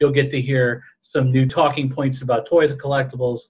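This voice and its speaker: A man with a medium-pitched, somewhat breathy voice talks at a moderate pace. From New Orleans, Louisiana. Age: 30s. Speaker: podcast co-host.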